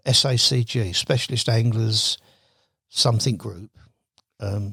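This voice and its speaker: Recorded very cleanly against a silent background, this dry, close voice with no echo has a bright, sharp tone, fairly even intonation, big swings in loudness, and long, frequent pauses. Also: man. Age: 70s. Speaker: carp angler. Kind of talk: podcast interview. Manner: halting.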